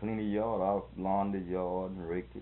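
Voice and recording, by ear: Speaking at a moderate pace, a man holds a low pitch with little pitch movement.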